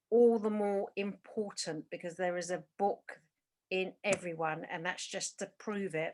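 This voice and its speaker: This is an ordinary speaking voice at a fairly slow pace. Its pitch varies in an ordinary way. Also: woman. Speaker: interviewer, stepdaughter of the writer. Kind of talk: interview introduction and questions.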